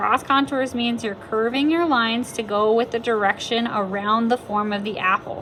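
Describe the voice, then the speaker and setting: Over noticeable background noise, a woman speaks. Her pitch is fairly high, with ordinary variation. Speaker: art teacher. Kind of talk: tutorial. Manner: casual with fillers.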